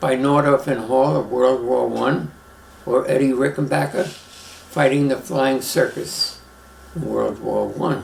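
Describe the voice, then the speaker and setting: A man with a New York accent speaks at a very slow pace over noticeable background noise. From Brooklyn, New York. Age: 90s. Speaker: retired airline pilot. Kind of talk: life story interview.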